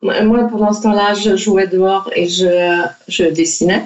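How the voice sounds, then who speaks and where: A woman's medium-pitched voice, very slow and monotone, with flat intonation. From France. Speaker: children's author and illustrator. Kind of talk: interview. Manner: halting, many repetitions.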